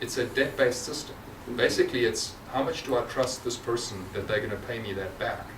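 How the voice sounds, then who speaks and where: A man's medium-pitched voice at a fairly quick pace, with ordinary pitch variation, noticeable background noise and audible room echo. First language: not English. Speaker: tech company representative. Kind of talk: Q&A discussion at a presentation. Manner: halting, repeats words.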